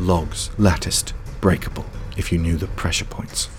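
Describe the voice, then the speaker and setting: Over noticeable background noise, a man speaks at a moderate pace in an animated, dramatic tone with ordinary pitch variation. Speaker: audio drama narrator. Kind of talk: dramatic fiction narration with character voices. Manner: animated, dramatic, vivid storytelling.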